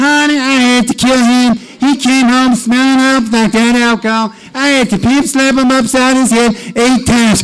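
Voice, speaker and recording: A man's put-on character voice, extremely high in pitch, monotone and flat, at a moderate pace over light background noise. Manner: sassy, streetwise.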